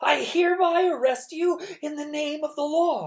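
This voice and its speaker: Using a put-on character voice, a woman projects at a high pitch in a raised voice. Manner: announcing an arrest in an official tone.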